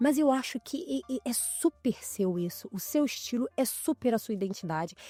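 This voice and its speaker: With music in the background, a woman speaks high in pitch with very wide swings, the sound dry and close with no echo. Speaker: podcast host and image consultant. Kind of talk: casual interview chat.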